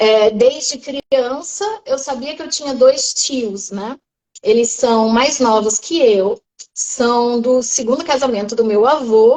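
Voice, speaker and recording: In a high pitch, a woman speaks very slowly with ordinary pitch variation. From Brazil, Porto Velho, Rondônia. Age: 30s. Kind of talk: testimony.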